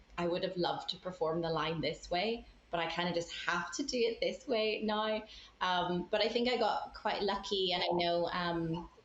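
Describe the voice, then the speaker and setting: A woman with a Northern Irish accent speaks with a fairly low pitch and ordinary pitch variation. Her pace is fairly slow, and there is noticeable background noise. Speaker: puppeteer. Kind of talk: casual chat.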